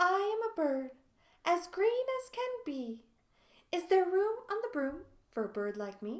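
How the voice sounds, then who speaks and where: Putting on a character voice, a woman speaks at an extremely high pitch with very wide pitch swings, a fairly slow pace, and long, frequent pauses. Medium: read story.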